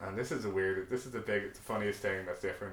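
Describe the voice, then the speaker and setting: A man's fairly low voice with an Irish accent, audible room echo around it. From Ireland. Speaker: podcast co-host. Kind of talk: casual chat.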